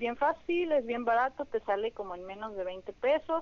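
The intonation is lively. The pace is fairly slow. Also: woman. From Mexico, Sonora (Hermosillo). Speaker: dancer and dance teacher. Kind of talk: interview. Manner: hesitant, many fillers.

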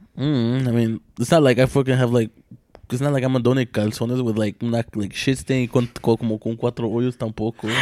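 A man with an unremarkable speaking voice at medium pitch, fairly quick and fairly even in intonation, in a dry, close sound with no echo. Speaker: podcast host. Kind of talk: casual chat. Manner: casual, slangy.

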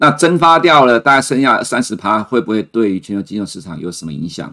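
Talking at a fairly quick pace, a man with a medium pitch and a bright, sharp tone makes very wide pitch swings. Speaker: chief economist, financial commentator. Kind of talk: market commentary livestream. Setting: livestream. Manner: frequent fillers and hesitations.

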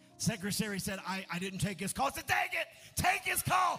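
A man shouting in an animated tone over music in the background. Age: 50s. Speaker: pastor. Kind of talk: sermon. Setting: church.

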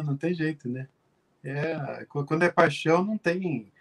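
A man's voice, dry and close with no echo. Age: 50s. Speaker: pianist and music teacher. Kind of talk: interview. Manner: halting.

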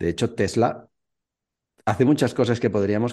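Speaking at a fairly slow pace, this man has a dark, mellow tone. His delivery unhurried throughout. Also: quiet background. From Spain, Valencia. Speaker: Spanish teacher and YouTuber. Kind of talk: casual chat.

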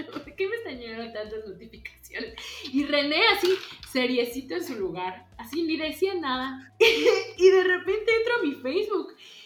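With an animated tone and an extremely high pitch, a woman speaks at a fairly slow pace, her voice showing very wide pitch swings and big swings in loudness, amid noticeable background noise and audible room echo. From Mexico, Yucatán. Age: 20s. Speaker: visual artist, painter and printmaker. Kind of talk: casual chat.

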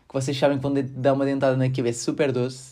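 A man speaks at a fairly quick pace in a medium pitch. His tone is dark and mellow, with a European Portuguese accent. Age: 20s. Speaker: podcaster and engineering student. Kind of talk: casual solo podcast monologue. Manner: relaxed, laughing.

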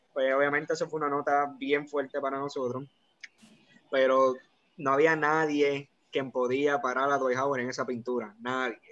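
Fairly quick and fairly even in intonation, a man talks in an unremarkable speaking voice with a fairly high pitch. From Puerto Rico. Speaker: basketball fan guest. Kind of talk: casual chat.

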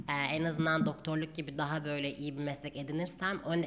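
Her voice sits very deep and low in pitch. The woman speaks at a fairly quick pace. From Turkey, Gaziantep. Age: 20s. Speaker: doctor. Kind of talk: casual chat.

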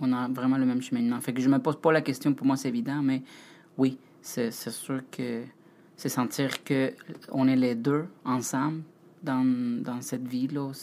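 With a non-native accent, a man speaks at a fairly slow pace in a monotone, flat intonation, leaving long, frequent pauses. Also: medium pitch for a man. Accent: foreign accent in French. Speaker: host's partner, former ship bartender. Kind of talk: casual chat. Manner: halting.

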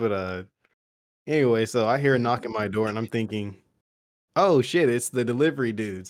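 The speech moves at a fairly quick pace with ordinary pitch variation, broken by long, frequent pauses. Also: man, medium pitch for a man. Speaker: podcast co-host. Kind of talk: casual chat.

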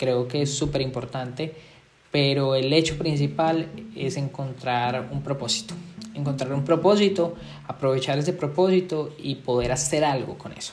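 In a room with audible echo, a man with a fairly high pitch talks at a fairly slow pace with fairly even intonation. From Colombia. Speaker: podcast host, entrepreneur and marketer. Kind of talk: solo podcast monologue.

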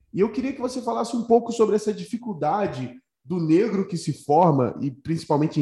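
This man's voice has a dark, mellow tone and swings very widely in pitch. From Rio de Janeiro, Brazil. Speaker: podcast host. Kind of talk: casual interview.

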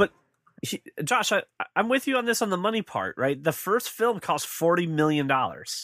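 A man with a high voice swings very widely in pitch, his tone bright and sharp. He talks at a moderate pace in a dry, close sound with no echo. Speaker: podcast co-host. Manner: halting, repeats words.

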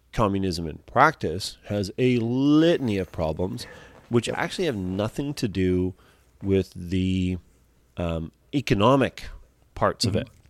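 The fairly slow delivery has lively intonation and long, frequent pauses, with a dry, close sound and no echo. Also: man, fairly low pitch for a man. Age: 40s. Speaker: podcast co-host. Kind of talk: casual chat.

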